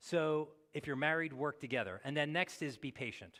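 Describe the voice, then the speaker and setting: A man's voice at a fairly high pitch. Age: 60s. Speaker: pastor. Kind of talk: sermon.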